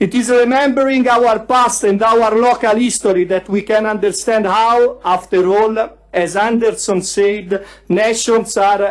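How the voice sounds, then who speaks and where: This is a man speaking. He has an Italian accent and a high pitch. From Italy, Tuscany (Pistoia). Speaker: youth federalist activist. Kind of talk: prepared speech. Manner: reading aloud.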